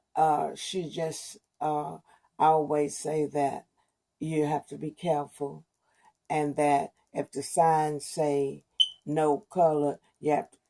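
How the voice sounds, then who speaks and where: Very deep and low, a woman with an American accent speaks very slowly in a dark, mellow tone, her intonation monotone and flat, with long, frequent pauses and big swings in loudness. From East Texas, rural. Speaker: oral history interviewee. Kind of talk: oral history interview.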